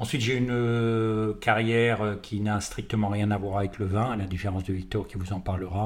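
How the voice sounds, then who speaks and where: A somewhat breathy man's fairly low voice at a moderate pace, in a monotone, flat intonation. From France. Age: 60s. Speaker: winemaker, former business lawyer. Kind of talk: interview. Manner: halting, repeats words.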